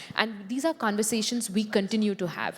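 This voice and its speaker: A woman talks with an Indian accent. Her pace is fairly quick. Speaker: tech company policy executive. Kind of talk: panel discussion.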